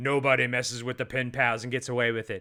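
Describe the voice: Speaking at a very fast pace, a man uses a put-on character voice at medium pitch with monotone, flat intonation.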